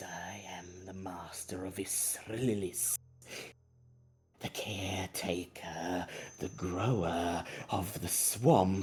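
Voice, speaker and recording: A man puts on a character voice with a very deep, low pitch. He talks at a very slow pace, with long, frequent pauses. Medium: actual play. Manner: servile, pleading.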